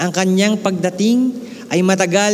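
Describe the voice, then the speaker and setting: A man talks, his pitch varying in an ordinary way. The room echo is audible, and background noise is noticeable. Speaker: pastor. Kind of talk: sermon.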